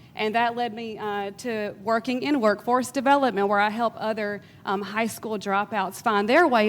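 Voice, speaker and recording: Speaking at a moderate pace with a Georgia accent, a woman keeps a medium pitch and fairly even intonation. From US South, South Georgia. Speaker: workforce development professional. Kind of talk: panel discussion. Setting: stage with audience.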